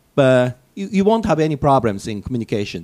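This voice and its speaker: Lively intonation marks this man's speech in a Japanese accent. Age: 50s. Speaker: English teacher. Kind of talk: casual talk. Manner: hesitant with fillers.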